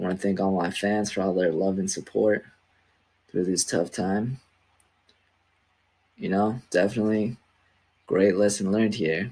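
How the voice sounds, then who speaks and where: With long, frequent pauses, a man speaks at a moderate pace in a fairly low pitch, his dark, mellow tone calm and his intonation fairly even, on a very clean recording with a silent background. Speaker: programming video creator. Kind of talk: coding tutorial commentary. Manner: monotone.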